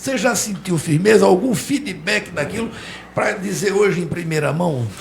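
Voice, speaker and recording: In a room with audible echo and noticeable background noise, a man with a high pitch and lively intonation speaks at a moderate pace. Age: 60s. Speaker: radio and web TV journalist. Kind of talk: interview.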